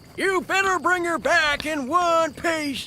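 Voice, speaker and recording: Over clear background noise, a man puts on a character voice at an extremely high pitch, speaking at a fairly slow pace. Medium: video game.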